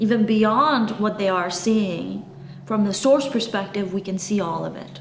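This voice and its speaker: A woman's medium-pitched voice at a fairly slow pace, with ordinary pitch variation, noticeable background noise and audible room echo. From Eastern Europe (former communist country). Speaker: spiritual channeler. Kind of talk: spiritual talk to camera. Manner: animated.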